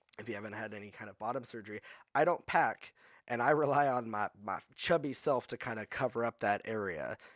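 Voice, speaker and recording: A man has an unremarkable speaking voice, medium in pitch with ordinary pitch variation and big swings in loudness. He talks at a fairly quick pace in a very clean recording with a silent background. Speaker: podcast guest. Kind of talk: casual interview chat.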